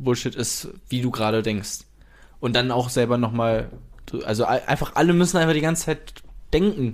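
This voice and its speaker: This man talks at a moderate pace with lively intonation and a medium pitch. He leaves long, frequent pauses, and the recording is very clean with a silent background. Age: 20s. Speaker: podcast co-host asking questions. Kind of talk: casual chat; podcast intro and housekeeping. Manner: hesitant, many fillers.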